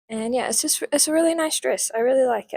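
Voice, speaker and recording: With a New Zealand accent, the speaker uses lively intonation. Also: woman, dry, close sound with no echo. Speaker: lifestyle vlogger. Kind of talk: casual haul video chat. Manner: casual, chatty.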